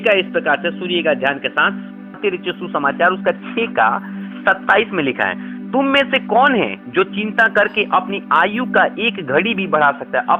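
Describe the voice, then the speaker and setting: Over music in the background, a man talks in a high pitch with lively intonation. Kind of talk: sermon.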